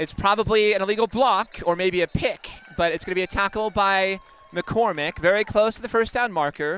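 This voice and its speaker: Music plays behind a man with a raised, projected voice. He speaks at a moderate pace in a high pitch. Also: dry, close sound with no echo. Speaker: play-by-play sports commentator. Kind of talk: live commentary. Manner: loud.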